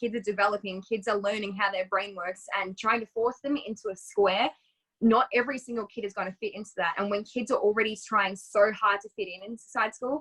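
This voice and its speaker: A woman with an Australian accent talks at a fairly quick pace with hardly any pauses, her fairly high, bright, sharp voice kept to fairly even intonation in a dry, close sound with no echo. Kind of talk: interview. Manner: fast.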